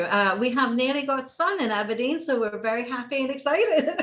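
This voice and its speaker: A woman with a high-pitched voice is heard over noticeable background noise. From Norway. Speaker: cytometry facility head. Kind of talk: casual interview chat. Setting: podcast interview.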